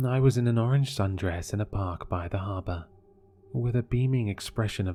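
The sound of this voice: An unforced reading voice carries the whole clip.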